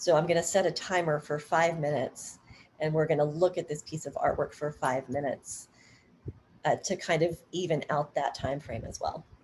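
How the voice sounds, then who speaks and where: A woman speaks in a very deep, low pitch, somewhat breathy. Her intonation stays fairly even. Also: moderate pace. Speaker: dance artist and workshop presenter. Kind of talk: workshop Q&A on Zoom. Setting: video call.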